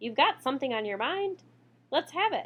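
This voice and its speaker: A high-pitched, put-on character voice with very wide pitch swings, at a moderate pace. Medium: read story.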